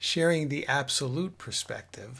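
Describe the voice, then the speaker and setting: Somewhat breathy speech comes through. The pace is very slow. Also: man. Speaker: spiritual teacher. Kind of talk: spiritual talk.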